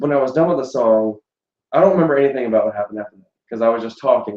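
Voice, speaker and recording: A man with a fairly high pitch and ordinary pitch variation talks at a very fast pace. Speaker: YouTube singer. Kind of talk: casual chat.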